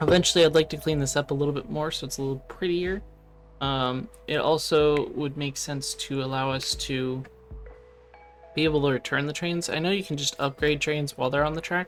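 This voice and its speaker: The speech moves at a fairly quick pace with music in the background. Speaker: gaming YouTuber. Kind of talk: gameplay commentary. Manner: slurring words slightly; casual, hesitant with fillers.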